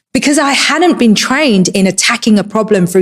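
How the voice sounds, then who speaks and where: A woman with a Cockney accent, medium in pitch, lively in intonation and fairly quick in pace. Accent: Cockney, kept. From England, East London. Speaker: entrepreneur. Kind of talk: personal talk.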